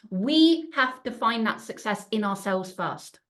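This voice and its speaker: A woman with a fairly high pitch and lively intonation speaks at a fairly slow pace. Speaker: business coach. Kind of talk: live webinar talk. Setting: livestream with chat. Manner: animated.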